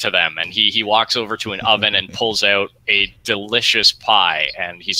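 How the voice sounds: The clip has a natural reading voice. That voice carries the recording.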